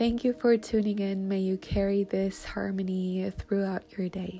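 With an unremarkable speaking voice, a woman speaks at medium pitch and a fairly slow pace, her intonation fairly even. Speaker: meditation guide. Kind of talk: guided meditation. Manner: slow, soothing, calm and gentle pacing with pauses; warm, inviting, gently affirming.

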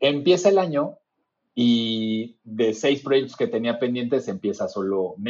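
Fairly slow in pace, a man speaks with an unremarkable speaking voice at medium pitch and with ordinary pitch variation. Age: 40s. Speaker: user experience designer. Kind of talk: casual chat.

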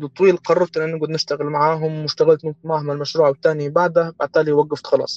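With a Tripoli Libyan accent, the speaker moves at a fairly quick pace in a fairly even intonation, and the sound is dry and close with no echo. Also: man. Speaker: architect and project manager. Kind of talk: casual interview.

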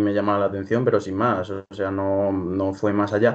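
A man at a moderate pace over a quiet background. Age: 20s. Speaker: startup co-founder and university student. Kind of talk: interview. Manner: halting, many fillers.

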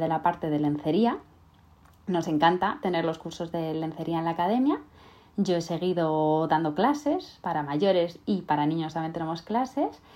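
A woman speaks at a moderate pace with a fairly low pitch and a dark, mellow tone. The background is quiet. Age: 30s. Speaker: podcast host and sewing teacher. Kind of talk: casual monologue. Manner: halting, frequent word repetitions.

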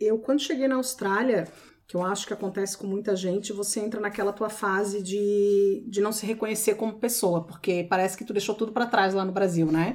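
Here is a woman with a normal speaking voice at a medium pitch. She keeps a moderate pace with ordinary pitch variation and hardly any pauses. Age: 40s. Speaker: personal organizer. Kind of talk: casual chat.

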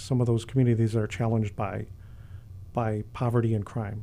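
At a moderate pace, a man with a dark, mellow tone and an American accent speaks in a flat monotone. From Chicago, South Side. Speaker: university police chief. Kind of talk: interview. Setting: studio.

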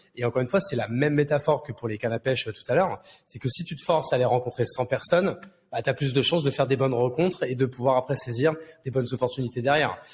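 Somewhat breathy, a man talks at a very fast pace with a medium pitch. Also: ordinary pitch variation. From France, Marne countryside (Champagne-Ardenne). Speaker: serial entrepreneur. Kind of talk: casual interview. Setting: Villa Maria in Bordeaux. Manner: animated, slangy with many hesitations.

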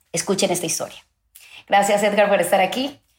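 She speaks in a coastal Ecuadorian accent. The woman's pace is very fast. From Ecuador, Guayaquil. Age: 40s. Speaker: podcast host, journalist. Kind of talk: interview.

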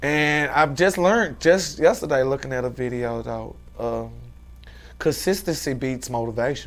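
Medium-pitched man with an American accent at a moderate pace, ordinary pitch variation, music in the background. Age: 40s. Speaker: fashion entrepreneur. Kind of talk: casual interview.

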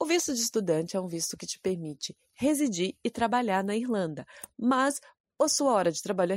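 A plain, everyday voice from a woman, with lively intonation, a moderate pace and a dry, close sound with no echo. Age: 20s. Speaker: podcast host, photographer and actress. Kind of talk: solo podcast monologue with tips.

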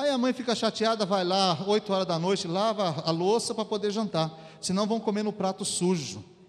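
This man talks in a high voice with ordinary pitch variation. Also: moderate pace. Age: 40s. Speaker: pastor. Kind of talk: sermon. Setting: church.

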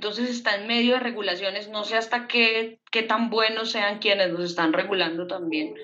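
A woman with an ordinary speaking voice talks at a fairly slow pace and fairly high pitch, with ordinary pitch variation and hardly any pauses. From Bogotá, Colombia. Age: 20s. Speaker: photographer. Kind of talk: casual chat.

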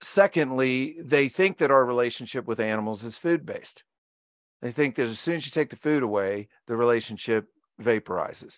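A man with an unremarkable speaking voice talks at a fairly quick pace and medium pitch, with ordinary pitch variation, in dry, close sound with no echo and a quiet background. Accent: American. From Virginia, US. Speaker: marine mammal trainer and author. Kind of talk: interview.

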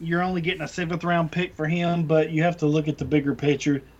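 A man's fairly high-pitched voice with monotone, flat intonation. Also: quiet background. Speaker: fantasy football podcast co-host. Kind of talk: casual chat.

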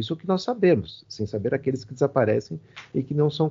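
A man talks with lively intonation at a fairly high pitch. His voice is somewhat breathy. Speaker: poet and literature professor. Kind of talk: interview. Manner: halting, many fillers.

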